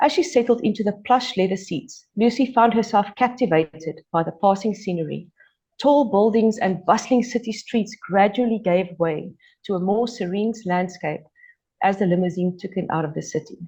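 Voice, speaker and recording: The speaker talks at a moderate pace with a South African accent. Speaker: author. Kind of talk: reading aloud. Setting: podcast interview.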